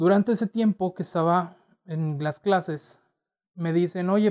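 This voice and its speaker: A man's high-pitched voice with a northern Mexican accent, in a dry, close sound with no echo against a quiet background. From Torreón, northern Mexico. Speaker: podcast host. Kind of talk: solo personal storytelling. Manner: casual, many fillers.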